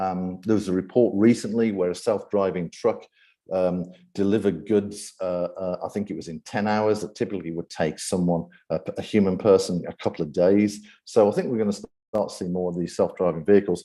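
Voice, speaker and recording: A man with a British accent, fairly low in pitch, with a dark, mellow tone, fairly even intonation and a fairly quick pace, on a very clean recording with a silent background. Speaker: AI ethics speaker and event host. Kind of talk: presentation talk. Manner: frequent fillers and repetitions.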